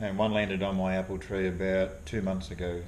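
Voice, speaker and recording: A man with a very deep, low pitch and an Australian accent, fairly quick pace, fairly even intonation, and audible room echo. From Australia, Victoria (moved from abroad at ten). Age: 60s. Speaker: fly fisherman and wildlife artist. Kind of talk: casual interview.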